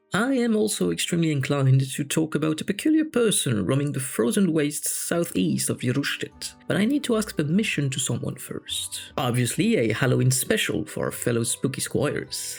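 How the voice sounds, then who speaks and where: Over music in the background, a man talks at a fairly quick pace with hardly any pauses, a fairly high pitch and very wide pitch swings. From France. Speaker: fantasy storyteller. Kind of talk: casual channel update talk.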